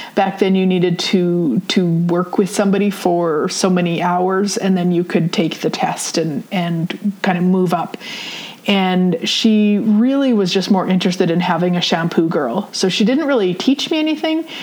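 With a Canadian Prairie accent, a woman speaks at medium pitch and a moderate pace, her loudness very even and her pitch variation ordinary, over noticeable background noise. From Saskatchewan, Canada. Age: 40s. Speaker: podcast host and spiritual teacher. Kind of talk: personal storytelling monologue. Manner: casual, with frequent fillers.

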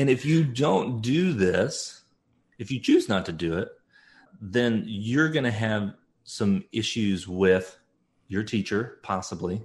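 On a very clean recording with a silent background, a man with a medium-pitched, somewhat breathy voice speaks at a very slow pace with lively intonation. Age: 40s. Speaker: homeschooling parent and parenting writer. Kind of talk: interview.

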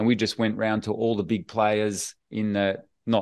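A man with an Australian accent speaks at a fairly low pitch against a quiet background. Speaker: podcast host. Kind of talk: interview chat. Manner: friendly, conversational.

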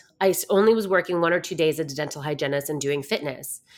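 In an ordinary speaking voice, a woman talks at a fairly quick pace with fairly low pitch and lively intonation. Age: 40s. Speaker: fitness and mindset coach. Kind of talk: casual interview chat.

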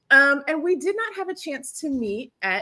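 Raised and projected, this woman's voice carries a bright, sharp tone as her pitch swings very widely. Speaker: podcast host. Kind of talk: interview conversation.

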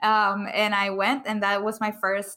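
A woman speaks very slowly at a medium pitch. Her tone is bright and sharp. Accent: non-native. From outside the US. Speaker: public speaker and author. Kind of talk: podcast interview.

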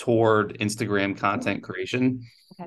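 A man with an ordinary speaking voice talks at a moderate pace and a medium pitch, with ordinary pitch variation. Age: young. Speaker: chiropractor. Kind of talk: podcast interview.

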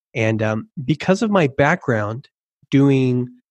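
Somewhat breathy, a man at a medium pitch speaks with ordinary pitch variation, the sound dry and close with no echo over a quiet background. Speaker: copywriter and web designer. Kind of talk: casual interview.

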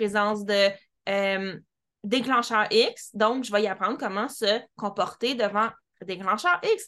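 In a Quebec accent, a woman with a bright, sharp tone and fairly high pitch talks at a fairly slow pace with fairly even intonation over a quiet background. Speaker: podcast host, dog trainer. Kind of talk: interview.

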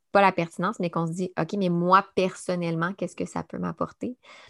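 A woman's fairly low voice in a Quebec accent, very fast with fairly even intonation, on a very clean recording with a silent background. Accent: Québécois French. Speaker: podcast host and speech-language pathologist. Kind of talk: casual interview. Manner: hesitant, many fillers.

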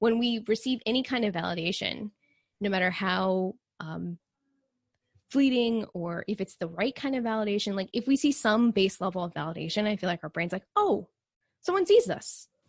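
A woman with an American accent talks at a moderate pace, medium in pitch with ordinary pitch variation. Her voice is somewhat breathy, and the sound is dry and close with no echo. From Texas. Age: 30s. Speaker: nutrition coach. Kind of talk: casual chat.

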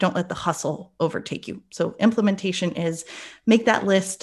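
Over a quiet background, a woman with an American accent speaks with vocal fry and ordinary pitch variation. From North Carolina, US South. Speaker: wedding industry coach and podcaster.

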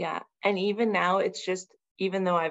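An unremarkable speaking voice from a woman, medium in pitch, at a fairly quick pace. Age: 40s. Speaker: mother and fitness program client. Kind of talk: casual interview chat.

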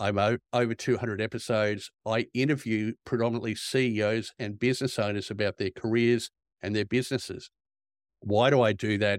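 A man with a medium pitch speaks in an Australian accent with flat, monotone intonation. The recording is very clean and silent behind him, dry and close with no echo. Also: fairly quick pace. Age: 50s. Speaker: executive recruiter. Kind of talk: interview.

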